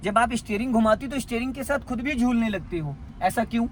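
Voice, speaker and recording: Through noticeable background noise, a man speaks at a moderate pace in an extremely high pitch with ordinary pitch variation. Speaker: driving instructor. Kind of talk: in-car driving lesson. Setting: in a car. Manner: stern, scolding.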